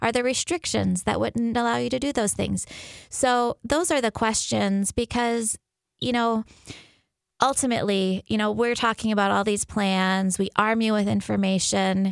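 A woman's normal speaking voice at a moderate pace, with very even loudness and a dry, close sound with no echo. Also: fairly high pitch for a woman, ordinary pitch variation, very clean recording, silent background. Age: 40s. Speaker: physician at a birth center. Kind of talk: radio interview.

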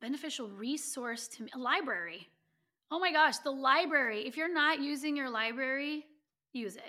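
Her projected, raised voice sits at a high pitch with a bright, sharp tone and ordinary pitch variation, and its loudness swings widely. The woman speaks at a moderate pace in a very clean recording with a silent background. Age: 40s. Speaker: author and biomechanist. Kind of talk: interview conversation.

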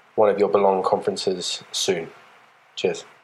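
A man with an English accent talks over noticeable background noise. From England. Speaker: listener calling in with a question. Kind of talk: recorded voice question. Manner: halting.

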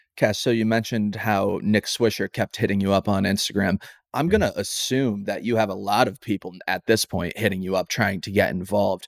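In a very clean recording, dry and close with no echo over a silent background, a man with a plain, everyday voice speaks at a fairly low pitch and a fairly quick pace, his intonation fairly even, with hardly any pauses. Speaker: podcast host. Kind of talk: casual interview.

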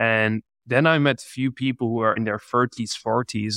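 In a Czech accent, a man speaks at a moderate pace and medium pitch with fairly even intonation, in a dry, close sound with no echo. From Czech Republic. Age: 20s. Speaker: entrepreneur. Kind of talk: interview. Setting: video call.

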